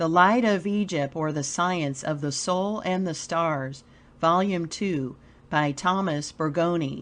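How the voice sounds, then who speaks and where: A woman talks at a very slow pace in a soothing, calm tone, her pitch fairly low with ordinary variation. The background is quiet. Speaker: volunteer audiobook reader. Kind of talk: audiobook reading.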